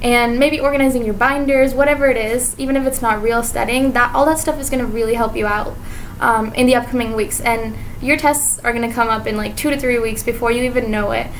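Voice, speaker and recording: A woman talks very fast in a high voice with fairly even intonation, over noticeable background noise and audible room echo. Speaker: medical student vlogger. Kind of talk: vlog monologue. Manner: casual, filler-heavy.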